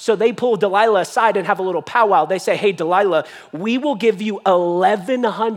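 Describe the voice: Ordinary pitch variation runs through the delivery. It is plain reading aloud.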